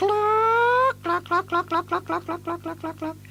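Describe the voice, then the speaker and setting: Over clear background noise, a man puts on a squeaky character voice at an extremely high pitch, speaking at a fairly slow pace. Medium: read story. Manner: clucking, soothing, motherly.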